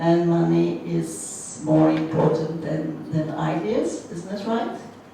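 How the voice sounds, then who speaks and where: A woman speaks at a very slow pace. There is noticeable background noise and audible room echo. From France. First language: French. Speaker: museum professional, panel speaker. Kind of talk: panel discussion. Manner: halting.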